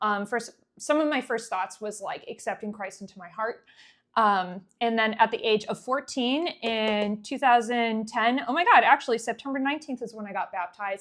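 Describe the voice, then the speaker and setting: On a very clean recording with a silent background, a woman with a slight New England accent speaks at a fairly high pitch and moderate pace, with ordinary pitch variation and big swings in loudness. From New England, US (Connecticut). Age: 20s. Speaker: vlogger. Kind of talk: casual monologue.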